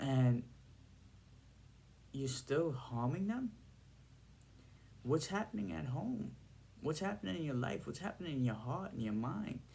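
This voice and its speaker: In a New York accent, the voice moves at a fairly slow pace with long, frequent pauses, a dark, mellow tone and very wide pitch swings. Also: man, medium pitch for a man. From Brooklyn, New York (Bensonhurst), Trinidadian family. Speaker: video blogger. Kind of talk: casual monologue to camera. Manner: halting.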